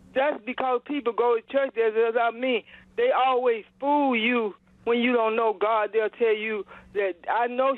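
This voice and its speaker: With an American accent, a woman talks at a moderate pace. Her pitch is fairly high. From US South, Georgia. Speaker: caller. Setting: phone call. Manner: halting.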